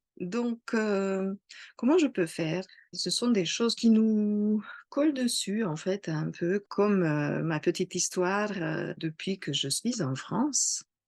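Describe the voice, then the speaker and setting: A woman with a slight non-native accent speaks very slowly at a medium pitch, her intonation lively and her loudness swinging widely, in a dry, close recording with a quiet background and no echo. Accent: slight foreign accent in French. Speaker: astrologer. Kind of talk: casual talk to camera. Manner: hesitant, many fillers.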